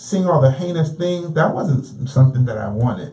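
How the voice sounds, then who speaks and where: Recorded with audible room echo and noticeable background noise, a man with a fairly high pitch talks at a moderate pace, his pitch varying in an ordinary way. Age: 40s. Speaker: author. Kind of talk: testimony.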